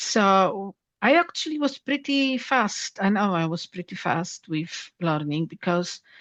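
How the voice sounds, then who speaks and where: Speaking at a very slow pace with lively intonation, a woman with a Polish accent uses a medium pitch. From Poland. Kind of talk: interview.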